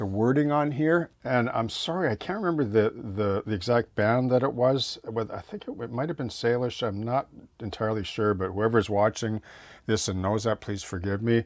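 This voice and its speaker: In a quiet background, a man speaks at a moderate pace and medium pitch with ordinary pitch variation. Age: 60s. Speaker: model railroad hobbyist, former prison chaplain. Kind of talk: casual tutorial vlog. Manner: halting, many fillers and restarts.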